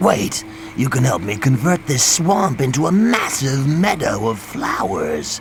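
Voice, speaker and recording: Clear background noise runs under this clip. A man uses a put-on character voice at a medium pitch and a fairly slow pace. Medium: machinima. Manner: dreamy, grandiose.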